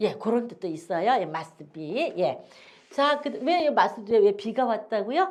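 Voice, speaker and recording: A woman at fairly high pitch, with very wide pitch swings. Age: old. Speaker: English teacher and pastor. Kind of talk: casual chat; lecture.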